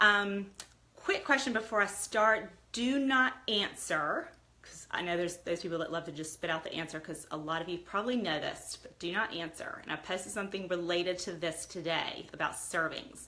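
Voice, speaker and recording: A woman's medium-pitched voice at a moderate pace, with ordinary pitch variation and big swings in loudness, over noticeable background noise. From US, Italian immigrant household. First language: Italian. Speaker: lifestyle livestreamer. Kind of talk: casual livestream chat. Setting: live video stream.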